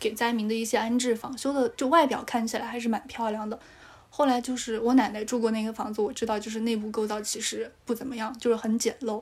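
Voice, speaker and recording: At a very fast pace, a woman speaks in a fairly high, somewhat breathy voice with monotone, flat intonation. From Sichuan (Dujiangyan, Chengdu Plain). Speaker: podcast guest. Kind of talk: casual chat.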